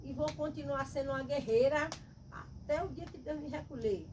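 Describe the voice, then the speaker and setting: With audible room echo and noticeable background noise around her, a woman speaks at a moderate pace. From Bahia, Brazil. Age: 60s. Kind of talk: testimony.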